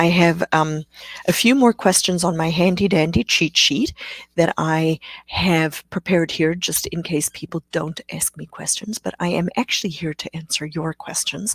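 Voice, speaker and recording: A woman with a South African accent talks at a moderate pace in a fairly low pitch with ordinary variation. The sound is dry and close, with no echo. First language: Afrikaans. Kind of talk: live Q&A webcast. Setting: live stream. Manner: hesitant, many fillers.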